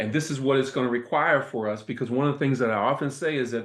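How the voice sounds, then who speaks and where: A man speaks with an American accent at a medium pitch and ordinary pitch variation. Audible room echo surrounds his voice. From US Midwest, Toledo, Ohio. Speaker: professor and invited speaker. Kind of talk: lecture. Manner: animated.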